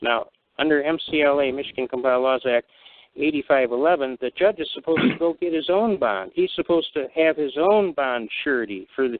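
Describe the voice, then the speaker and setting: Here is a man with a plain, everyday voice and a fairly high pitch. His pace is fairly quick, and his pitch varies in an ordinary way. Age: 60s. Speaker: constitutional law speaker. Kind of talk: call-in radio discussion.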